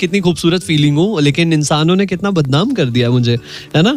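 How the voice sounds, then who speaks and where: An upbeat, energetic tone at a moderate pace. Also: man. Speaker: radio jockey (FM radio host). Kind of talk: radio show banter, interview host.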